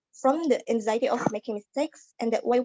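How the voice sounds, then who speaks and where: The woman's voice sits fairly high. She talks at a fairly quick clip. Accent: Indonesian. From Indonesia. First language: Indonesian. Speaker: student. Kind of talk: class speech. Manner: halting.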